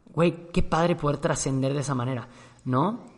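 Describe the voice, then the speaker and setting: A man speaks with a Mexican accent at a fairly quick pace. His voice sits fairly high, with ordinary pitch variation. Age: 30s. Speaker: podcast host. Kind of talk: casual monologue.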